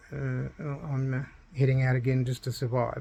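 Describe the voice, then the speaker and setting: A somewhat breathy, medium-pitched male voice with an Australian accent and monotone, flat intonation. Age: 60s. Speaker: retired banker telling his own story. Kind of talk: personal testimony vlog. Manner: halting, many fillers.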